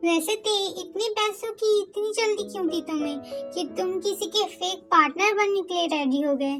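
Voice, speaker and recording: Over clear background music, a woman performs a put-on character voice. She speaks at a moderate pace. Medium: fan dub. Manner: confident, assured.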